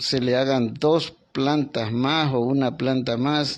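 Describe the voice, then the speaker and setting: A man's medium-pitched voice at a very slow pace, with ordinary pitch variation over a quiet background. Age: 60s. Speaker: doctor interviewed about an earthquake. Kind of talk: remote interview. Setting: remote connection.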